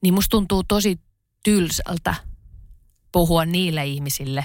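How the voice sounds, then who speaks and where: At a very slow pace, a woman with a fairly low pitch and ordinary pitch variation speaks on a very clean recording with a silent background. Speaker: writer and podcast co-host. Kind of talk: casual chat.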